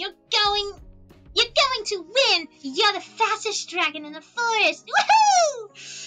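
A woman puts on a character voice at an extremely high pitch, bright and sharp in tone, with big pitch swings. She goes at a slow pace over faint background music.

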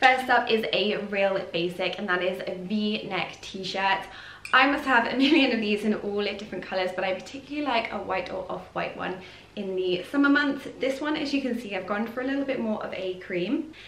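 The speech moves at a moderate pace with ordinary pitch variation. Room echo can be heard. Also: woman. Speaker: fashion vlogger. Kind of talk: casual vlog chat. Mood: cheerful, chatty. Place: home room.

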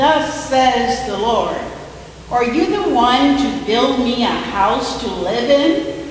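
A woman with a high pitch and lively intonation at a very slow pace, amid strong room echo and light background noise. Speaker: scripture reader. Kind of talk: scripture reading. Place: church. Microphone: podium.

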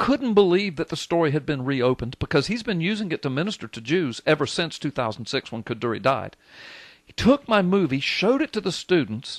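Talking fairly fast with a Southern US accent, a man with a fairly high voice sounds animated and swings his pitch very widely, the recording dry with no echo and a quiet background. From US South. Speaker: radio talk show host. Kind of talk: talk radio call-in show. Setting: radio studio. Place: studio.

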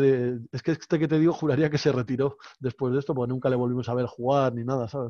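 Over a quiet background, a man talks at a very fast pace with fairly even intonation, the sound dry with no echo. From Spain. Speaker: professional poker player; guest. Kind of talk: casual chat. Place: home room. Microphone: headset.

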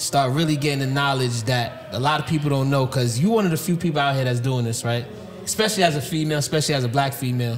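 The speech runs at a very fast pace with ordinary pitch variation. Light background noise sits underneath. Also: man, fairly high pitch for a man. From New York. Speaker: podcast host. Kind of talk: casual podcast interview. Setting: recorded on site at a conference. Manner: animated. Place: studio. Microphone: studio mic.

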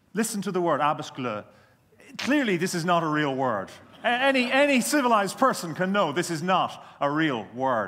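With an Irish accent, a man speaks at a moderate pace in a high pitch, his bright, sharp tone moving through very wide pitch swings. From Ireland. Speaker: career development expert. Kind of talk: conference keynote talk. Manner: humorous. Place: hall. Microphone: headset.

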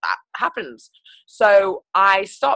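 Her tone is bright and sharp as a woman speaks. The background is quiet and the sound dry, with no echo. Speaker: guest. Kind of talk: personal story talk. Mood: excited, upbeat. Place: home room. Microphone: video call.

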